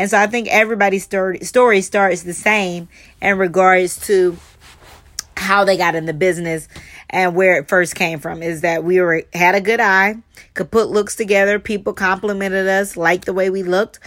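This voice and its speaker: A woman's medium-pitched voice with a Southern US accent, moderate pace and fairly even intonation. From US South, Charleston, South Carolina. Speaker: fashion stylist and podcast host. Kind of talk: solo podcast monologue.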